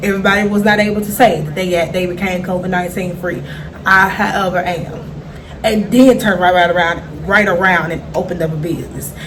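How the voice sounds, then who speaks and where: An animated tone in a Memphis accent at a fairly quick pace, with audible room echo and noticeable background noise. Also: woman, medium pitch for a woman. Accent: Memphis Southern. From Memphis, Tennessee, US South. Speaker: vlogger and small food business owner. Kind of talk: casual vlog update.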